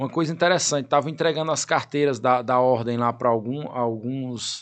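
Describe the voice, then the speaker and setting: An unremarkable speaking voice at a moderate pace, ordinary pitch variation, quiet background. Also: man. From Piauí interior, Brazil. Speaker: lawyer and law professor. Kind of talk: interview.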